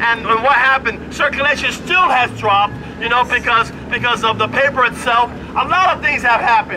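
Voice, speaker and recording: An extremely high-pitched male voice at a fairly quick pace, with ordinary pitch variation and crowd noise behind it. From Puerto Rico. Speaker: newspaper ad salesman and union member. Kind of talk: protest rally speech. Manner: halting.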